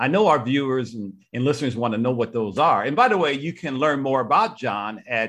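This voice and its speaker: A man talks with lively intonation at a fairly high pitch in a plain, everyday voice. The background is quiet. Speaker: podcast host. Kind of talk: casual interview.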